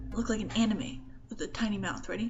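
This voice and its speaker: Music plays in the background as a woman speaks, with audible room echo. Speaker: vlogger. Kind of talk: casual vlog talk. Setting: indoors in own room. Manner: rambling.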